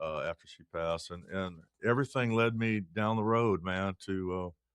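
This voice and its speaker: Speaking at a moderate pace with a Texan accent, a man has a fairly low pitch and fairly even intonation. The sound is dry and close, with no echo. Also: big swings in loudness. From Texas (Waco, Blue Ridge). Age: 60s. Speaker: singer-songwriter. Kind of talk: interview. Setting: studio. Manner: halting.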